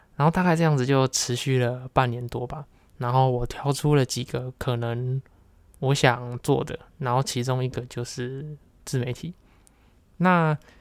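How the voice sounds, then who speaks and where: Speaking with a Taiwanese accent at a fairly slow pace, the voice has fairly even intonation and long, frequent pauses. The recording is very clean and dry, close, with no echo and a silent background. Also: man, medium pitch for a man. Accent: Taiwanese Mandarin. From Taiwan, Kaohsiung. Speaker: podcast host. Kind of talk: solo monologue.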